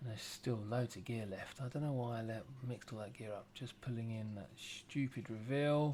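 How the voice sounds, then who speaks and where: Speaking with an English accent, a man has a dark, mellow tone, medium pitch and fairly even intonation. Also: moderate pace. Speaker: former plasterer, DIY video maker. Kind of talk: voiceover commentary. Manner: casual, halting.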